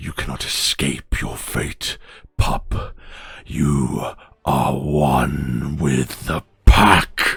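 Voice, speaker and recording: Very slow and raspy, a man's put-on character voice sits at a very deep, low pitch. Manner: menacing, ominous.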